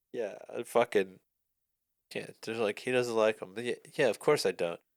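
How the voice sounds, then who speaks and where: A man at a moderate pace, recorded with a dry, close sound and no echo. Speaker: podcast co-host. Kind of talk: casual chat. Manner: loud; animated.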